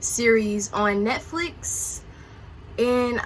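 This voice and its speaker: A woman's fairly high-pitched voice comes with audible room echo. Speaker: YouTuber. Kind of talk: mukbang true crime chat. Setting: at home. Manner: soft-spoken; casual, with mouth full at times.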